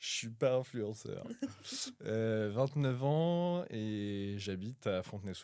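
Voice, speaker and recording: Speaking at a very slow pace, a man with medium pitch and a dark, mellow tone uses lively intonation. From Paris region, France. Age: 20s. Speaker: tenant planning to buy a home. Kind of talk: casual interview. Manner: hesitant, many fillers.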